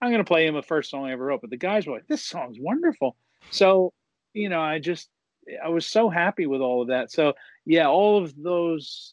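With lively intonation, a man talks in a normal speaking voice against a quiet background. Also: dry, close sound with no echo. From USA. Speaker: rock singer-songwriter. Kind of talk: interview.

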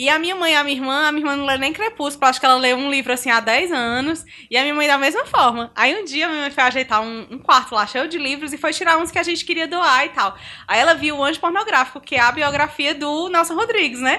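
A woman with a high, bright and sharp voice talks at a very fast pace in a raised, projected voice, with hardly any pauses, over a quiet background. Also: ordinary pitch variation. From Brazil, Ceará. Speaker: podcast guest. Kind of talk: casual chat.

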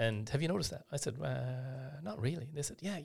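Vocal fry marks this man's voice. He talks very fast. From west of Ireland. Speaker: surgeon. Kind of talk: interview. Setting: studio.

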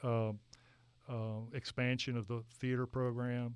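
A man's medium-pitched voice. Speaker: architect. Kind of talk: interview conversation.

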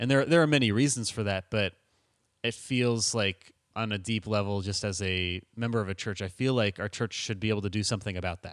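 This is a normal speaking voice at a fairly quick pace, with ordinary pitch variation. The sound is dry and close with no echo, and the recording is very clean over a silent background. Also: man, fairly low pitch for a man. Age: 20s. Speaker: church member and artist. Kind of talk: casual interview answers.

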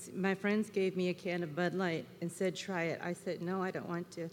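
A woman with an American accent speaks at a moderate pace and a medium pitch. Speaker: church member. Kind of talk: testimony. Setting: church service with congregation.

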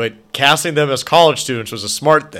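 The tone is bright and sharp, with ordinary pitch variation at a fairly quick pace. The recording is very clean, with a silent background. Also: man. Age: 30s. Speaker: horror podcast co-host. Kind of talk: casual chat.

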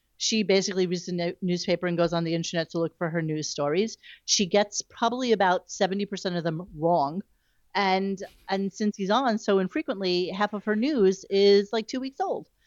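A woman with an American accent and a plain, everyday voice of medium pitch speaks in a dry, close sound with no echo against a quiet background. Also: ordinary pitch variation, fairly quick pace. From New York. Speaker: radio news website owner. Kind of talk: casual chat.

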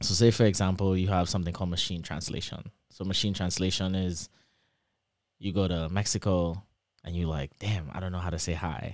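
In a very clean recording with a silent background, a man with an American accent speaks at a fairly quick pace, his very deep, low voice fairly even in intonation. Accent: Trinidadian English, shifting toward American. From Trinidad and Tobago. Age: 20s. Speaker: PhD student. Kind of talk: casual interview chat.

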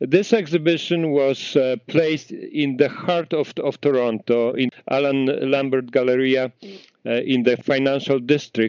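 A man with a Polish accent speaks in a fairly high pitch, keeping his intonation fairly even. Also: fairly slow pace. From Poland, small town. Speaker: architect and heritage foundation organizer. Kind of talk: interview. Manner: halting.

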